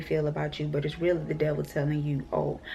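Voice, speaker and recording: A woman speaks quietly at a moderate pace. Her intonation is monotone and flat. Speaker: vlogger. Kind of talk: casual vlog monologue. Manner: quiet, talking low; rambling, filler-heavy.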